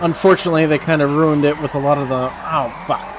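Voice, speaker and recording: Speaking fairly quickly with an American accent, a man with a fairly high voice is heard over music in the background. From Texas. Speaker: gaming streamer. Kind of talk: live gameplay commentary. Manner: casual, rambling with fillers.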